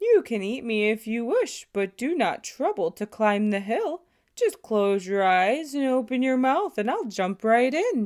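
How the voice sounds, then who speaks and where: A put-on character voice, fairly high in pitch, runs at a moderate pace. There are hardly any pauses. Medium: read story. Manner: calm, coaxing.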